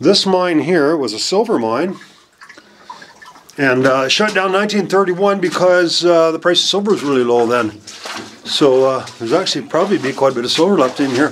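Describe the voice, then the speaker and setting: The pace is fairly quick. Light background noise sits under the voice. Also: man. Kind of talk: casual vlog commentary. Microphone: phone near.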